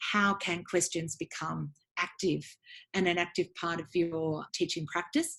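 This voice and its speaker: Against a silent background in a very clean recording, a woman with an Australian accent speaks at a moderate pace, her fairly low pitch showing ordinary variation. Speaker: education academic and book author. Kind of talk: interview about her book. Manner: hesitant with frequent ums.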